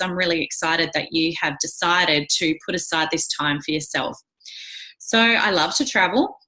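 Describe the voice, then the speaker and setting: With an Australian accent, a woman speaks at a moderate pace. Her tone is enthusiastic, bright and sharp. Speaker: wellness coach and direct sales leader. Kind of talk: presentation.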